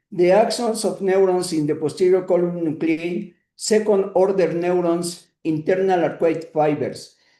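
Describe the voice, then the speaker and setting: With a Spanish accent, a man speaks at a fairly slow pace with hardly any pauses. His high pitch has a dark, mellow tone and fairly even intonation. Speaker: neuroanatomy lecturer. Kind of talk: lecture. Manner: halting, many filler sounds.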